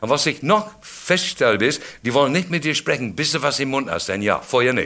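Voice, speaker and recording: A man speaks with an English accent. His pitch sits at medium. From England. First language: English (speaking German). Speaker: comedian. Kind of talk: stand-up.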